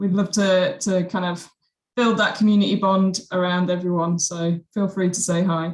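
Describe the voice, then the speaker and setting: Somewhat breathy and medium-pitched, this woman speaks at a moderate pace with fairly even intonation. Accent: British. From UK. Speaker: webinar host. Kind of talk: live webinar introduction. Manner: casual, relaxed.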